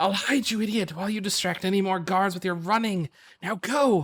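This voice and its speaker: Putting on a hissing character voice, a man talks high in pitch at a fairly quick pace. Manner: hissing, urgent, irritated.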